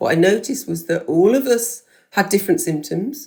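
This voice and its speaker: A woman with a British accent, lively intonation and vocal fry. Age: 60s. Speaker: podcast host, former teacher. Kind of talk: interview answer.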